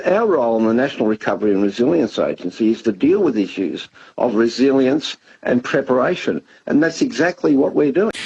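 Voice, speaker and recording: Speaking at a fairly quick pace, a man with an Australian accent keeps a very even loudness at a medium pitch while making very wide pitch swings. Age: 70s. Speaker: government disaster agency head. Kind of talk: radio interview. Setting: radio studio.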